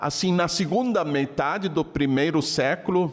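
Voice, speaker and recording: This man speaks in a high voice, and his pitch moves up and down in an ordinary way. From Germany. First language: German (speaking Portuguese). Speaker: Bible scholar. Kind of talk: interview.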